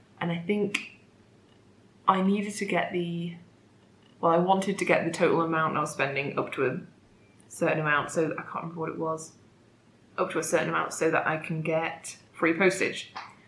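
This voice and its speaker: In a room with audible echo, a woman speaks at a fairly quick pace but leaves long, frequent pauses. Her pitch is fairly low and her intonation fairly even. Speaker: knitting podcaster. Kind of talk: casual chat.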